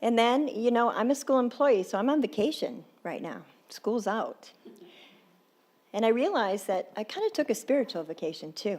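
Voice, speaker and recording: A woman's intonation is lively. She keeps a moderate pace. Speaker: guest speaker. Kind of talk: sermon.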